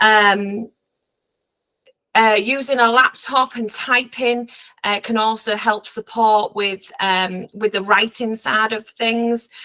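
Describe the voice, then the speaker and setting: Very slow and monotone, a woman with a Hull accent speaks at a fairly high pitch in a bright, sharp tone. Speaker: dyslexia specialist teacher. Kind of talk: training webinar presentation. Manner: halting, many fillers.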